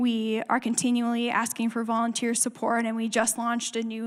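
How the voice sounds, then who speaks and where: Speaking at a fairly quick pace, a woman uses a fairly high voice. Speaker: refugee ministry staff speaker. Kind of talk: church presentation with Q&A. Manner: fast.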